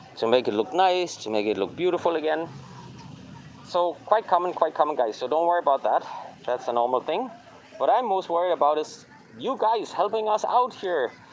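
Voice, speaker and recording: Over noticeable background noise, a man talks at a fairly quick pace in a high pitch with very wide pitch swings. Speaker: travel vlogger. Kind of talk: casual walking vlog commentary. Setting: outdoors.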